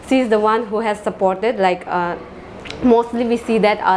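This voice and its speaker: A woman talks at a moderate pace in a monotone, flat intonation over light background noise. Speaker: assistant professor interviewee. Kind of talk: interview answer. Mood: warm, grateful. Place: empty room. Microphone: handheld.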